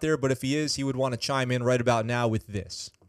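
An animated man with an American accent talks at a very fast pace. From New York State (Poughkeepsie). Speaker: Navy veteran podcast host. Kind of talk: casual news commentary livestream. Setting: home livestream with live chat.

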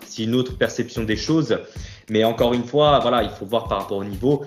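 A man speaks at a medium pitch and a fairly quick pace. Music plays in the background. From Corsica, Ajaccio. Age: 30s. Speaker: bodybuilder and fitness coach. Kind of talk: casual interview.

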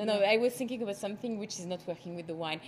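Lively intonation from a woman with a medium-pitched voice. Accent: French. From France; Bordeaux. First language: French. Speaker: winemaker. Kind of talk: casual interview.

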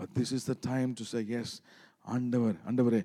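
Over a silent background in a very clean recording, a man with a Tamil accent speaks at a moderate pace in a dark, mellow tone at medium pitch. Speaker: pastor. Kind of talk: sermon. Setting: church. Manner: animated.

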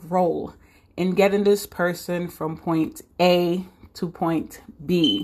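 A woman speaks in an animated, enthusiastic tone. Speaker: podcast host and admissions professional. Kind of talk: casual solo podcast monologue about her own story.

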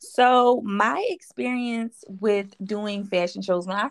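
With a dry, close sound and no echo, a woman in a Philadelphia accent speaks with ordinary pitch variation. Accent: Philadelphia American English. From West Philadelphia. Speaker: clothing brand owner. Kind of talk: interview.

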